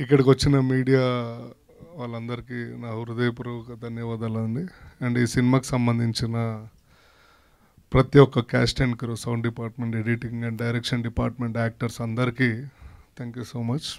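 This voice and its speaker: A man speaks at a medium pitch in a monotone, flat intonation with big swings in loudness, on a very clean recording with a silent background. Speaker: actor. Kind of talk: speech at a film launch event. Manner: humorous, casual.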